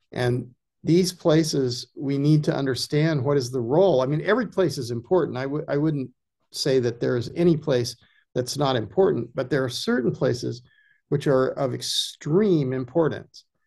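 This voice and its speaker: A man speaks in a dark, mellow tone, somewhat breathy, at a fairly high pitch. His pitch varies in an ordinary way against a quiet background. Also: moderate pace. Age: 70s. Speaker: ecology filmmaker and former journalist. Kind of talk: casual chat. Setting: video call. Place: home room. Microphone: video call.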